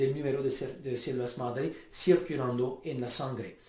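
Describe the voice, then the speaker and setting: A man with a non-native accent, amid noticeable background noise and audible room echo. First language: not Spanish (speaking Spanish). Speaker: stem cell researcher. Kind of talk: lecture. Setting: home video recording. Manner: halting.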